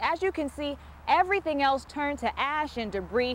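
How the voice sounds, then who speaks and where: A woman's high-pitched, energetic voice at a moderate pace over noticeable background noise. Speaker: TV news reporter. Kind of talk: TV news report. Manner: energetic, conversational.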